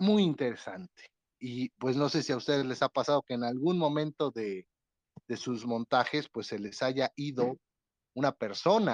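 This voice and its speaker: Lively intonation from a man with a normal speaking voice, medium pitch, and fairly slow pace, in a dry, close sound with no echo. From Mexico, Puebla (Atlixco). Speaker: podcast host, theatre director. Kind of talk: casual panel discussion.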